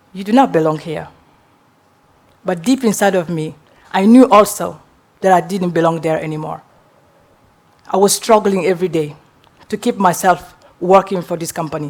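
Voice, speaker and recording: Her accent is non-native, and this woman speaks at a moderate pace. Her pitch is medium, with ordinary variation. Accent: noticeable foreign. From Guinea, West Africa. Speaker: entrepreneur and public speaker. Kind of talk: motivational talk. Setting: stage with audience.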